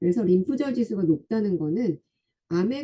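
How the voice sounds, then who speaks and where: A woman's medium-pitched, somewhat breathy voice with very wide pitch swings. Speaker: health product presenter explaining body scan results. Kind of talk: online lecture. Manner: halting with filler sounds. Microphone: too quiet for listeners.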